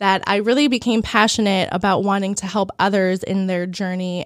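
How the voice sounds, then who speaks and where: An ordinary speaking voice, fairly even in intonation, moving at a moderate pace. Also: woman. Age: 40s. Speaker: holistic health coach and podcaster. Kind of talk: casual interview chat.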